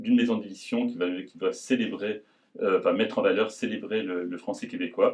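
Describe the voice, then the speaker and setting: A man at a moderate pace. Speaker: publisher. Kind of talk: presentation to an audience. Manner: halting, many repetitions and hesitations.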